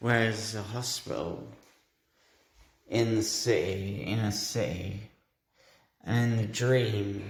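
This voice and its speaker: Very slowly and with long, frequent pauses, a man speaks in a fairly low voice with fairly even intonation, his words carrying audible room echo. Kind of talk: monologue describing a dream. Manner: halting.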